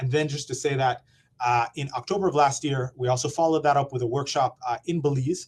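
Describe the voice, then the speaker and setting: A man speaks at a very fast pace with a somewhat breathy voice. His pitch sits fairly high, and his intonation stays fairly even. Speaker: program presenter at forest monitoring webinar. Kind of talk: conference presentation.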